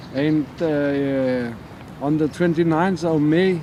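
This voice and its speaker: Pitch moves in an ordinary way over noticeable background noise. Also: man. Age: 60s. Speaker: interviewee sharing diabetes story. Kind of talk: interview testimony. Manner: halting.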